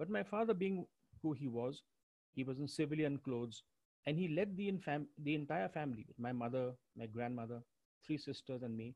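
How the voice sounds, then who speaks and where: With lively intonation and a dark, mellow tone, a man talks at a fairly quick pace, broken by long, frequent pauses, in a dry, close sound with no echo. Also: fairly high pitch for a man. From India. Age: 60s. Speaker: retired school deputy headmaster. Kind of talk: personal talk. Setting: online webinar. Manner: halting.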